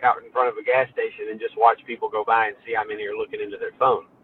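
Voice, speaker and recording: A very fast-paced man with a Memphis accent. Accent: US Southern (Memphis). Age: 30s. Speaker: towing business owner. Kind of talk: podcast interview.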